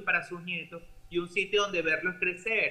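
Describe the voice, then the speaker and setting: In a raised, projected voice, a man speaks at a high pitch and moderate pace with monotone, flat intonation. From Venezuela. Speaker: doctor; news commentator joining remotely. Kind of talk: interview; commentary. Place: home room. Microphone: webcam.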